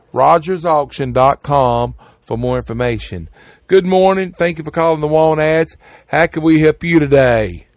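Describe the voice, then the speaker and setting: Fairly slow, fairly high male speech with ordinary pitch variation. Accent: Southern US. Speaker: radio host. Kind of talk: radio ad patter, reading classifieds aloud. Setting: studio. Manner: brisk, repetitive, rhythmic, repeating phone numbers twice.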